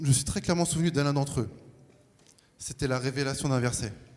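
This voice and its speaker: With audible room echo around him, a man speaks in a fairly high voice and a fairly even intonation. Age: 40s. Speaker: baptism candidate. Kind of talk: testimony. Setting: church.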